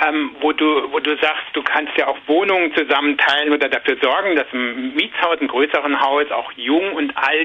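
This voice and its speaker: Fairly high-pitched male speech at a moderate pace over noticeable background noise. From Saarland, Germany. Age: 50s. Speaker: journalist and author. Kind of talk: interview.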